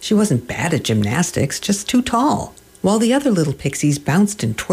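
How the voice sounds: Someone reads aloud in a natural voice.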